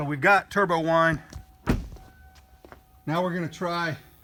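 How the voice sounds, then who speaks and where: With music in the background, a man with a fairly high pitch speaks at a fairly slow pace. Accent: Oklahoma. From Oklahoma. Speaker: truck owner. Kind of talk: casual talk to camera. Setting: outdoors.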